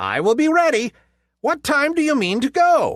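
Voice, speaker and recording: A put-on character voice, high-pitched and squeaky. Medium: read story.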